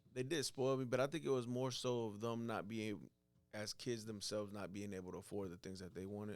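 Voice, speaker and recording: Music plays in the background as the voice moves with ordinary pitch variation. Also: man, fairly low pitch for a man, fairly quick pace. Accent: American. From Atlanta area, US (Mexican family). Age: 20s. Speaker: entrepreneur, epoxy floor installer. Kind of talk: casual interview.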